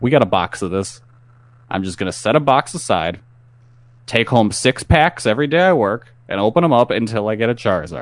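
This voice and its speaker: A man with an unremarkable speaking voice talks at a medium pitch and a fairly quick pace. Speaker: podcast co-host. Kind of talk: casual banter. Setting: online recorded show.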